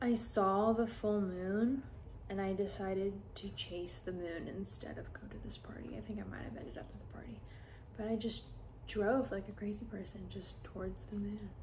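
A soft-spoken woman talks at a moderate pace with big swings in loudness over light background noise. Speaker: social media content creator; ASMR creator. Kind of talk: ASMR sleep video, softly spoken chat. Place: home room.

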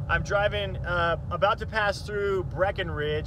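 Noticeable background noise, a dry sound with no echo, and a man's voice at a moderate pace. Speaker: vlogger. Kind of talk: casual vlog chat. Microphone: phone near.

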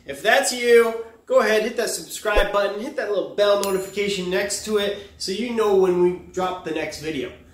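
With audible room echo, a man talks at a moderate pace. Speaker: fitness coach. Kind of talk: tutorial. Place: gym. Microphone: camera far.

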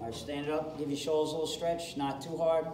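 Over music in the background and with audible room echo, a man talks at a moderate pace. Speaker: fitness coach. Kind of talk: workout class instruction. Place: gym. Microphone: camera far.

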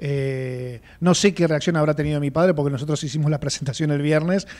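Speaking with a Rioplatense accent, a man goes at a fairly quick pace with a fairly high pitch and ordinary pitch variation. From Argentina, Buenos Aires area; Argentina. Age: 50s. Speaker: writer; interviewee. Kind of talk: interview. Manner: halting. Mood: personal, emotional recollection. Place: studio. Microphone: studio mic.

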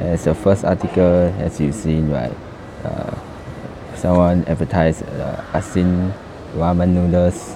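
The speaker goes at a fairly slow pace with fairly even intonation and long, frequent pauses, over noticeable background noise. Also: man, very deep, low pitch for a man. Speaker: video blogger. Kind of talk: casual vlog commentary. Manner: casual, laughs often.

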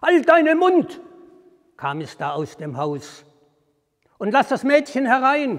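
Against a quiet background, a man talks at a very slow pace with long, frequent pauses. His warm tone comes with big swings in loudness. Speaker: storyteller. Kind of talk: fairy tale storytelling. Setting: outdoors at a historic well. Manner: measured, formal storyteller's cadence, calm and deliberate; warm, inviting address to the audience. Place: church. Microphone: lapel.

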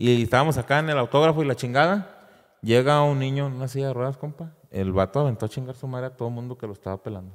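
Speaking at a very fast pace, a man uses a medium pitch with ordinary pitch variation over a quiet background. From Mexico, Durango. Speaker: singer; podcast guest. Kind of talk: casual chat. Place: studio. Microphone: studio mic.

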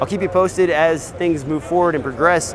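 Noticeable background noise behind a male speaker. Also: dry sound with no echo. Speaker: video gear reviewer. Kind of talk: product review commentary. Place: hall.

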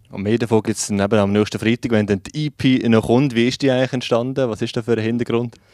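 With hardly any pauses and fairly even intonation, a man talks at a fairly quick pace in a dry sound with no echo against a quiet background. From Switzerland. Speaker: radio host. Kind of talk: radio interview. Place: studio. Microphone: handheld.

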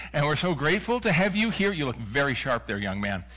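A man talks with vocal fry in a bright, sharp tone. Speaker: minister leading worship. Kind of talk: service welcome and announcements. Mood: warm, welcoming. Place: church.

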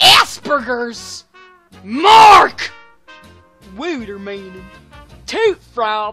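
Using a put-on character voice at a high pitch, a woman speaks at a very slow pace with long, frequent pauses over faint music in the background. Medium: voice reel.

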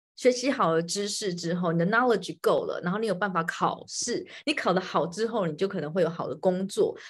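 A woman with a somewhat breathy, medium-pitched voice talks with hardly any pauses against a quiet background. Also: ordinary pitch variation. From Taiwan. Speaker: podcast host. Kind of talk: live-streamed interview. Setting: home, live stream, hiding in bedroom. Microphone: video call.

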